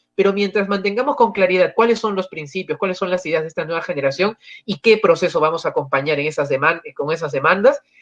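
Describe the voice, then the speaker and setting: The speech comes at a very fast pace. There are hardly any pauses. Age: young. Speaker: panelist. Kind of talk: panel discussion. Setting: livestream.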